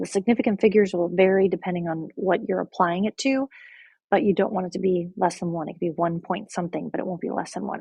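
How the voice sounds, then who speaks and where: A somewhat breathy voice at a very fast pace with ordinary pitch variation. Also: woman, medium pitch for a woman. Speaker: math teacher. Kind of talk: lecture.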